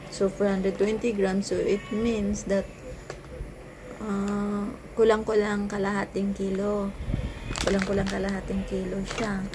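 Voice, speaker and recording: A soft-spoken woman whispers at a fairly slow pace with long, frequent pauses, amid noticeable background noise and audible room echo. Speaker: vlogger selling coffee products. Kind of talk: product review vlog, sales pitch. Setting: bedroom at home. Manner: soft-spoken, near whisper; halting, many restarts.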